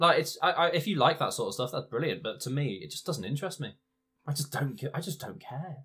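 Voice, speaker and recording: A man talks at a very fast pace in a fairly high, bright, sharp voice with lively intonation and vocal fry. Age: 20s. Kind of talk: casual chat.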